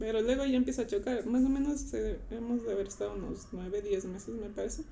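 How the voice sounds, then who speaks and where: A woman talks at a fairly quick pace, and audible room echo follows her words. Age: 20s. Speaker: church volunteer. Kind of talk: casual chat.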